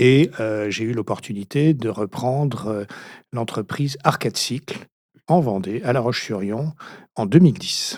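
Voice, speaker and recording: On a very clean recording with a silent background, a man speaks fairly slowly at a medium pitch with ordinary pitch variation. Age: 60s. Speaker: retired business owner. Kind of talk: interview. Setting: studio. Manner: halting.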